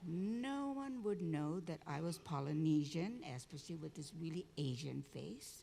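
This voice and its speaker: A woman with a Hawaiian accent speaks at a fairly slow pace in a fairly low pitch, her dark, mellow tone somewhat breathy and her intonation lively. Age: 70s. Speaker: community activist and storyteller. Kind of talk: conference talk.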